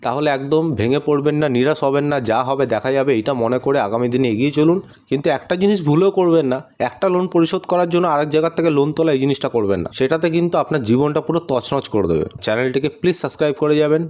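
Here a man has an ordinary speaking voice, fairly high in pitch. His pitch variation is ordinary and his loudness very even. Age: 20s. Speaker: vlogger and small business owner. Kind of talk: personal vlog monologue.

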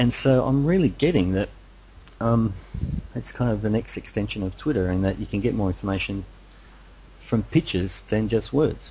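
At a moderate pace, a man speaks with a dark, mellow tone and a somewhat breathy quality. His pitch varies in an ordinary way, and he leaves long, frequent pauses. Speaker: internet marketer, interviewer. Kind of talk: interview. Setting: online call. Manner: animated.

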